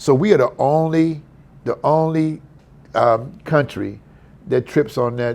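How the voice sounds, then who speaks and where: This is a plain, everyday voice from a man with an American accent. He talks at a fairly slow pace. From San Francisco, California. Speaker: historian, author and lecturer. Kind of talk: podcast interview answer. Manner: casual, conversational.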